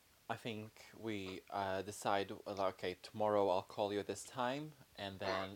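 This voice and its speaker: A man's plain, everyday voice, fairly low in pitch, at a fairly slow pace. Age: 20s. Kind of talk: casual chat.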